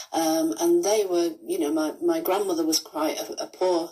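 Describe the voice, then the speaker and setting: A woman with a slight Lancashire accent speaks in a dark, mellow tone with fairly even intonation. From northern England, Rochdale, Lancashire. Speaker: author and pension campaigner. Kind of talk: pre-recorded reminiscence; radio interview. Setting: radio.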